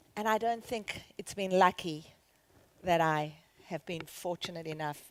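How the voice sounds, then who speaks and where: A woman speaks with a South African accent at a fairly slow pace. Her pitch is fairly low, with ordinary variation. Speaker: charity founder and CEO. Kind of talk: conference keynote talk. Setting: stage with audience.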